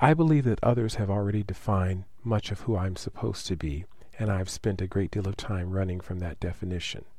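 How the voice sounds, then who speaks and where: With an American accent, a man speaks in a somewhat breathy voice of fairly low pitch and a dark, mellow tone. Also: ordinary pitch variation, fairly quick pace. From United States. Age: 40s. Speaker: nurse practitioner. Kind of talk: reading aloud.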